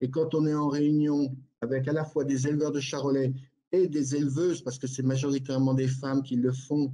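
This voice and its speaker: A fairly high-pitched man's voice, dark and mellow in tone, with monotone, flat intonation at a moderate pace. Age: 60s. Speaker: livestock farmer. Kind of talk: panel debate. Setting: live online debate. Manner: halting.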